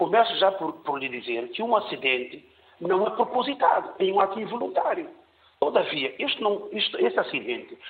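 Noticeable background noise sits behind a man with a high voice. He talks at a moderate pace. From São Tomé and Príncipe. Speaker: caller. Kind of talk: call-in opinion.

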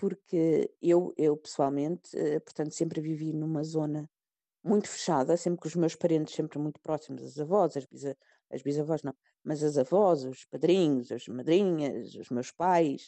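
Speaking at a fairly slow pace, a woman uses a very deep, low pitch with ordinary variation in it. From Portugal, Sintra. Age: 50s. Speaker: Portuguese emigrant. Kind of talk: interview.

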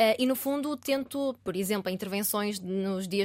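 A woman talks in an ordinary speaking voice. Her pitch is fairly high and her pace moderate. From Portugal, Aveiro district. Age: 20s. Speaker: student union president. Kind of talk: interview. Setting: studio.

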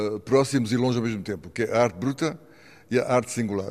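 A man talks at a fairly quick pace. His medium-pitched voice shows ordinary pitch variation. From Mozambique. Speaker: outsider art collector and sculptor. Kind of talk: interview.

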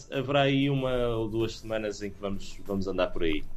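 Audible room echo surrounds a man's voice. His pitch is medium, with ordinary variation. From Portugal, partly raised in England. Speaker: rock band singer. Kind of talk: interview. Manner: halting, many fillers.

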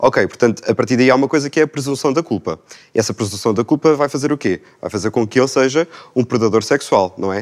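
Talking at a very fast pace, a man uses a medium-pitched voice in a dry, close sound with no echo. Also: ordinary pitch variation. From Portugal, Lisbon area. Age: 20s. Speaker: young panel guest. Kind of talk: panel discussion.

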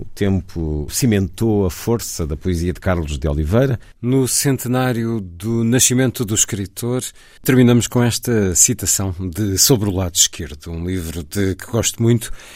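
A normal speaking voice with lively intonation comes at a fairly slow pace on a very clean recording with a silent background. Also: man, fairly low pitch for a man. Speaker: radio host. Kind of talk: radio presentation.

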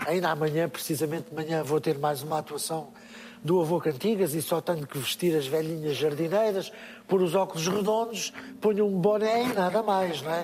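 A man with a high pitch keeps a moderate pace, and his pitch varies in an ordinary way. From Portugal, interior. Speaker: musician and children's entertainer. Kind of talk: live interview. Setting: stage with audience.

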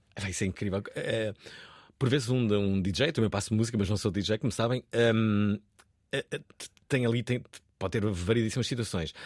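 Long, frequent pauses from a man at a fairly low pitch, with ordinary pitch variation, on a very clean recording with a silent background. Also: moderate pace. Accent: European Portuguese. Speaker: radio host. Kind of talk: radio talk show. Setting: studio. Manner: animated.

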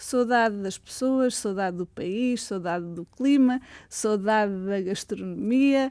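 A woman with a European Portuguese accent, fairly high-pitched and dark, mellow in tone, at a fairly slow pace with ordinary pitch variation, on a very clean recording with a silent background. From Portugal, Tomar. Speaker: linguistics professor. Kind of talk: interview. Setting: studio.

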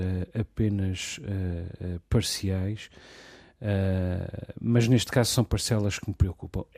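A man's fairly low, dark and mellow voice with fairly even intonation, on a very clean recording with a silent background. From Portugal. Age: 40s. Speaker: radio host. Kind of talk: casual discussion.

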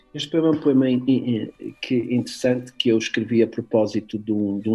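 A man speaks with music in the background. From Porto, Portugal. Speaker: poet and surgeon. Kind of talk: poet reading own verse aloud, then interview answers. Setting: radio studio interview. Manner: measured, reflective, halting with hesitations in answers; slower, deliberate in verse.

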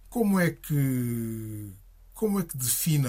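A man's somewhat breathy voice sits at a medium pitch. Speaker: radio host. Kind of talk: radio interview. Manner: formal.

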